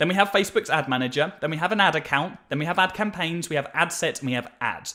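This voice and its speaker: Delivered at a very fast pace with hardly any pauses, this voice has a British accent, a bright, sharp tone and ordinary pitch variation. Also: man, high pitch for a man. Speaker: marketing agency owner teaching ads. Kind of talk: tutorial. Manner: energetic.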